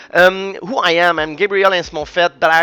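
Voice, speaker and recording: This is a man talking. He has a Quebec accent. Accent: Québécois French accent in English. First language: French. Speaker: jiu-jitsu coach and commentator. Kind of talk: sports analysis and predictions. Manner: halting, many fillers.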